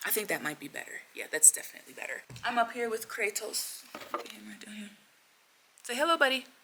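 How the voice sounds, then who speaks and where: A woman with an American accent at a fairly quick pace, broken by long, frequent pauses, over noticeable background noise. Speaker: vlogger. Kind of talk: casual vlog talk.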